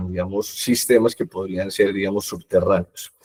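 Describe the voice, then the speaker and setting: In a Colombian accent, a man with a fairly low pitch and a dark, mellow tone speaks at a moderate pace with fairly even intonation, in a dry, close sound with no echo. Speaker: product manager presenting at a webinar. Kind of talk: technical webinar presentation. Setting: online webinar. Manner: hesitant fillers (eh, digamos).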